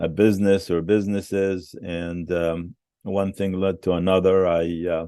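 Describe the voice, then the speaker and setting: Very deep and low, a man's dark, mellow voice moves at a fairly slow pace with monotone, flat intonation. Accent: Arabic. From West Bank, Palestine. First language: Arabic. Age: 70s. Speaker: museum founder and businessman. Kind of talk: interview. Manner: halting, many fillers.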